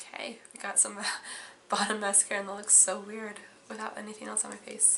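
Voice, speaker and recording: A woman speaks at medium pitch in a flat monotone, with big swings in loudness. Noticeable background noise and audible room echo surround her voice. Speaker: beauty vlogger. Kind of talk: makeup tutorial vlog. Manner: casual, chatty.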